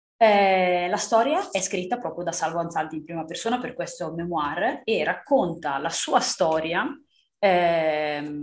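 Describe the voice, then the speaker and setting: A woman with a medium pitch and lively intonation speaks at a very slow pace. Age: 30s. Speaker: book podcast co-host. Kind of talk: casual chat.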